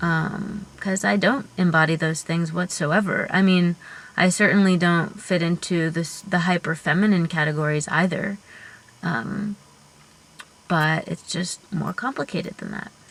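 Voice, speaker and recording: This is a plain, everyday voice, speaking at a fairly slow pace with ordinary pitch variation. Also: woman, fairly low pitch for a woman. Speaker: genderqueer vlogger. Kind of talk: casual talk to camera. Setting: in a parked car.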